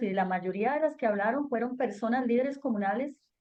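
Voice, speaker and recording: The woman's pitch is high, with ordinary pitch variation. She speaks at a fairly quick pace. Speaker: government environmental officer. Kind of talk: webinar Q&A answer.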